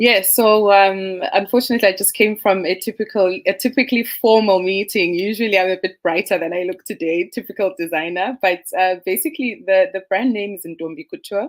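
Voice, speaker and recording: A woman talks at a fairly quick pace with hardly any pauses and ordinary pitch variation. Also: medium pitch for a woman. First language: Ndebele. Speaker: fashion designer. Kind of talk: panel discussion. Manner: frequent hesitations.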